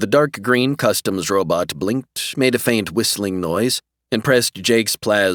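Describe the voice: Plain reading aloud, with ordinary pitch variation and a quiet background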